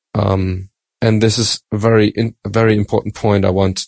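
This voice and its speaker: In a German accent, a man speaks at a fairly slow pace with a fairly low pitch and fairly even intonation. The background is quiet, and the sound is dry and close, with no echo. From Germany. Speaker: Bible study panelist. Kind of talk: Bible study discussion.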